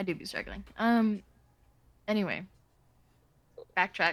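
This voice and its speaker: Pausing long and often, a woman speaks at a fairly slow pace with fairly even intonation. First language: not English. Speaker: game master. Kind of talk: tabletop role-play narration. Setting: recorded group session.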